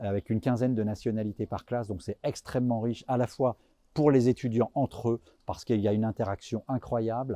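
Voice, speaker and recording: A man's medium-pitched voice, fairly quick and fairly even in intonation, with a dark, mellow tone and a dry, close sound free of echo. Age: 50s. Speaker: business school professor. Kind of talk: interview testimonial.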